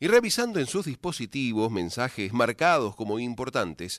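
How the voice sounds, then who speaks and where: A man's voice with very wide pitch swings at a moderate pace against a quiet background. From San Luis, Argentina. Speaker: folk radio host. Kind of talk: radio show presenting.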